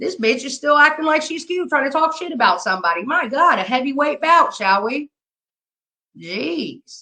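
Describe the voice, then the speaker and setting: A woman projects a raised, high-pitched voice at a moderate pace. Her tone is bright, sharp and animated, with very wide pitch swings. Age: 50s. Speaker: livestreamer. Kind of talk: live stream commentary.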